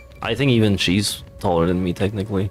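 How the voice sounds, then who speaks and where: Over music in the background, a man speaks with a non-native accent. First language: not English. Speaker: VTuber streamer. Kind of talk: casual let's play commentary.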